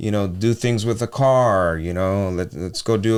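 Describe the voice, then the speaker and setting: On a very clean recording with a silent background, a man with a fairly low voice sounds animated, talking at a fairly quick pace with ordinary pitch variation. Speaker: podcast co-host. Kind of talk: casual chat. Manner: animated, repetitive false starts.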